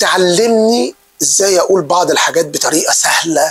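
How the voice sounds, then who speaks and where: This is a man speaking. He has an Egyptian accent. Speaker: Italian language teacher. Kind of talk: tutorial. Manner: casual, repetitive with fillers.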